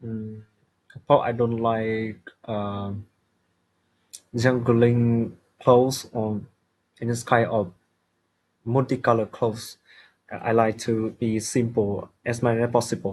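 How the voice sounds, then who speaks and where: With a Vietnamese accent, a man at medium pitch speaks very slowly in a flat monotone, leaving long, frequent pauses. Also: quiet background. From Vietnam, Hanoi. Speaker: IELTS test candidate. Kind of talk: speaking exam answers. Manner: halting, many hesitations.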